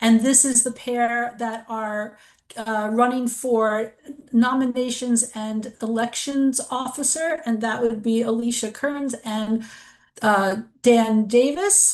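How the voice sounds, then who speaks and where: Speaking at a very slow pace, a woman keeps a fairly high pitch and fairly even intonation. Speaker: forum moderator. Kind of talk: moderating a forum.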